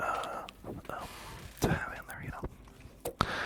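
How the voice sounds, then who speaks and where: Through noticeable background noise, a man is whispering. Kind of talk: ASMR whispering about random topics. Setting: close microphones, binaural, studio. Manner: whispered, close-up.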